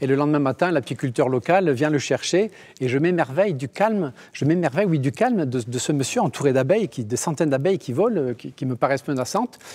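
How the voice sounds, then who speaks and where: In a Basque-Béarnais accent, the speaker talks fairly quickly with lively intonation and hardly any pauses. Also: man, fairly high pitch for a man. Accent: Basque-Béarnais French, lasting. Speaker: engineering school director. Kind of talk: TV interview.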